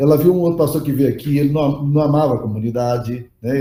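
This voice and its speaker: The voice has a dark, mellow tone and is somewhat breathy, moving at a very fast pace with fairly even intonation. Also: man. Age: 60s. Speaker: pastor and leadership teacher. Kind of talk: lecture. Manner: casual, conversational.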